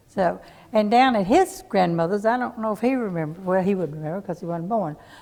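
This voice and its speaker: A woman with a Tennessee accent talks at a fairly quick pace, her medium pitch showing ordinary variation. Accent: Southern US (Tennessee). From Smyrna, Tennessee. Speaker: local resident sharing memories. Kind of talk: oral history group conversation.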